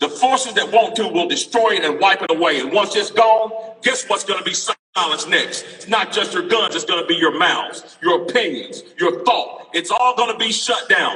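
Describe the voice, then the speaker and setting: A man with a high pitch speaks in a raised, projected voice with lively intonation and hardly any pauses. Noticeable background noise runs underneath. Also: moderate pace. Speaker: political speaker at a rally. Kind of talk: impassioned rally speech. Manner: loud; animated.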